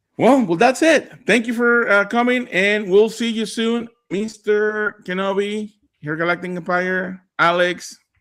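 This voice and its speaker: With a Spanish accent, a man speaks at a very slow pace. His pitch is high, with ordinary variation. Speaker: Spanish-language Star Wars live streamer. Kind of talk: casual chat. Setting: live stream. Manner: halting.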